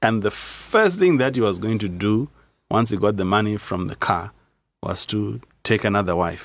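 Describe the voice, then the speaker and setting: A man with an ordinary speaking voice talks at a moderate pace. His pitch is fairly low, with ordinary pitch variation. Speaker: pastor. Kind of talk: casual chat.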